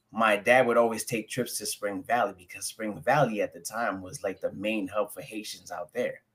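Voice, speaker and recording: With a New York accent, a man talks at a moderate pace with hardly any pauses. His loudness swings widely. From New York (Jamaica, Queens; later Rockland County). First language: French. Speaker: guest. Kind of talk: casual interview chat. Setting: live stream.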